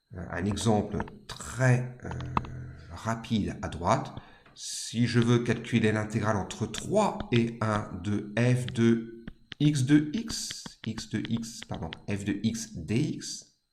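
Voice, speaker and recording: The voice moves at a very slow pace with ordinary pitch variation. Room echo is audible. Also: man, medium pitch for a man. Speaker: maths teacher. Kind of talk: lecture.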